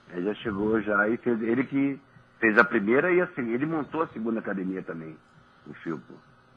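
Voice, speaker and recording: Medium in pitch, a man speaks at a fairly quick pace. His pitch swings very widely. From Niterói, Rio de Janeiro state, Brazil. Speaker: former professional footballer. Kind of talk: radio interview chat. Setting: radio studio.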